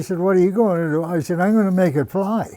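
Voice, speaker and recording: In a rural Canadian accent, a man speaks with a high pitch and a dark, mellow tone. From Madawaska, eastern Ontario, Canada. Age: 80s+. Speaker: model aircraft builder. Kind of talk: casual storytelling interview.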